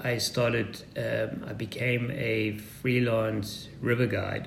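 The recording carries audible room echo and noticeable background noise. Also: man. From Zimbabwe and South Africa. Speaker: custom composites builder and adventure racer. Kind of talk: interview. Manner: halting, many fillers.

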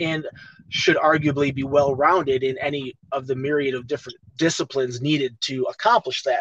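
An unremarkable speaking voice from a man with an American accent, fairly high in pitch, at a moderate pace. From Chicago. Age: 40s. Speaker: actor and fight commentator. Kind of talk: casual interview chat.

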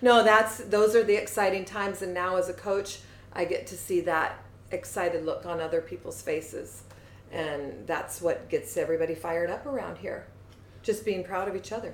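A woman speaks with an American accent at a moderate pace and a medium pitch. Hers is a plain, everyday voice with ordinary pitch variation. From US Pacific Northwest, Seattle. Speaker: fitness coach. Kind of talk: casual interview.

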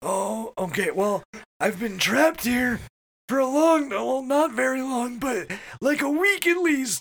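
In a put-on character voice, the speaker sounds strained, with a fairly high pitch and a fairly slow pace.

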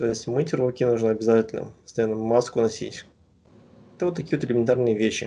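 A man with a dark, mellow tone talks at a very fast pace with fairly even intonation. Long pauses come often. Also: medium pitch for a man. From Kazakhstan, Astana. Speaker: PhD student in virology. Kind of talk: interview.

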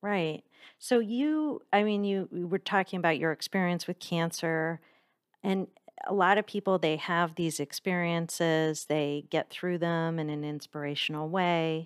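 A woman with a plain, everyday voice and fairly low pitch speaks fairly slowly. The recording is very clean, with a silent background and a dry, close sound with no echo. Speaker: podcast host and nonprofit CEO. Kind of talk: interview intro and conversation.

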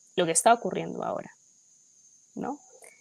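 This woman's voice sits fairly low. Vocal fry runs through her speech. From Peru. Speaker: politician. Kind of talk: political discussion. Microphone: too quiet.

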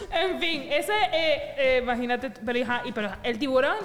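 Over noticeable background noise, a woman speaks in a high pitch with lively intonation. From Venezuela. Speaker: podcast co-host. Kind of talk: casual chat.

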